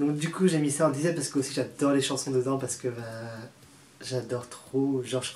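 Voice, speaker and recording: Noticeable background noise sits under this recording. A man with a fairly high pitch talks at a very fast pace in a monotone, flat intonation. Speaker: YouTuber. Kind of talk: casual vlog ranking.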